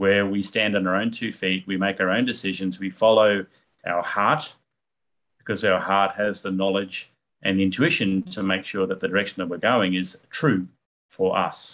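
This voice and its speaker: Here is a man with an ordinary speaking voice, fairly low in pitch. His intonation is fairly even and his pace is moderate. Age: 50s. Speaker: digital asset expert. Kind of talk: interview.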